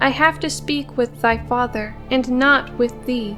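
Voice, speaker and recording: A woman's put-on character voice at a fairly slow pace, with clear music in the background. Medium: read story. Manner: sly, bargaining.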